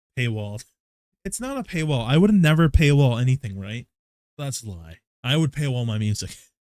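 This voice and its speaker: In a very clean recording with a silent background, a man speaks at medium pitch with lively intonation and big swings in loudness. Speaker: vtuber streamer. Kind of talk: casual chat. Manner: fast; animated.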